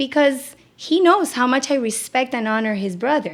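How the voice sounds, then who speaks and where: A woman speaks loudly at a moderate pace, her tone animated and her intonation lively. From Puerto Rico. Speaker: psychotherapist. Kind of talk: podcast interview.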